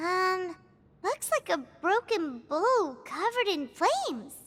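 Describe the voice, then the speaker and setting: This woman speaks fairly slowly. She is doing a put-on character voice pitched extremely high. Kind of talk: comic old-lady parody. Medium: voice reel.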